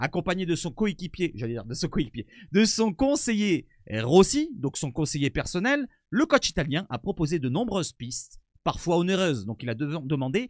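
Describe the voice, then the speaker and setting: A man speaks at a moderate pace in a high pitch with very wide pitch swings. The sound is dry and close with no echo, on a very clean recording with a silent background. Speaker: football YouTuber. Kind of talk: casual video commentary. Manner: stumbling, hesitant.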